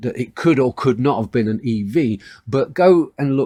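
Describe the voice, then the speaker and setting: With a British accent and ordinary pitch variation, a man speaks at medium pitch in a dry, close sound with no echo on a very clean recording against a silent background. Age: 60s. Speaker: online news commentator. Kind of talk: opinion monologue to camera.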